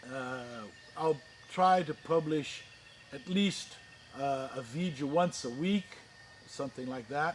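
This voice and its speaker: The speaker has an American accent and ordinary pitch variation. The pace is fairly slow, broken by long, frequent pauses. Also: man, fairly high pitch for a man. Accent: rusty English. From Brazil, with childhood years in the US. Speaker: orchid grower and YouTuber. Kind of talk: channel introduction. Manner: halting, with many fillers.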